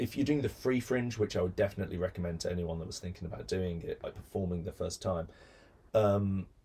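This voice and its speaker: A man speaks in a fairly low, somewhat breathy voice with ordinary pitch variation. His tone is dark and mellow. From Birmingham, England. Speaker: actor and comedy writer. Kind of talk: casual interview chat. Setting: recording studio. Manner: projects his voice well.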